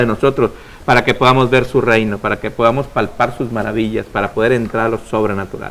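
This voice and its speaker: A man is speaking. His pace is very fast. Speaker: preacher and radio host. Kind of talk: preaching on a religious call-in program. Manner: loud.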